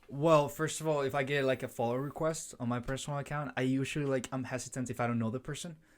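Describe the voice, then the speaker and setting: A man talks at a very fast pace with hardly any pauses. His pitch is medium and his intonation monotone and flat. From Colombia. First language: Spanish. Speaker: college student. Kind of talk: casual chat.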